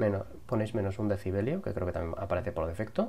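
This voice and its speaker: Over light background noise, a man speaks at a fairly quick pace in a fairly low, somewhat breathy voice with a dark, mellow tone. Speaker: YouTube tutorial creator. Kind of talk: tutorial. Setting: home recording with lavalier mic. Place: home room.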